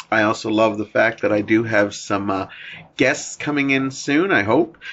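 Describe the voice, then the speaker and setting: A man speaks in a plain, everyday voice at a medium pitch. His loudness stays very even. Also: ordinary pitch variation, moderate pace. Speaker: podcast host. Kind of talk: radio show intro. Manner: upbeat.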